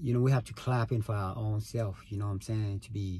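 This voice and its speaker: A man's fairly low, dark, mellow voice, somewhat breathy, moves at a fairly quick pace with ordinary pitch variation. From Vietnam. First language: Vietnamese. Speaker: podcaster. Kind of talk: casual monologue. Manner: casual, filler-heavy.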